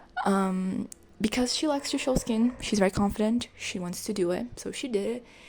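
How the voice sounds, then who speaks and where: A soft-spoken woman with a fairly high pitch, ordinary pitch variation and a moderate pace. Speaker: art youtuber. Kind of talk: casual vlog narration. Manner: hesitant. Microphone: poor audio.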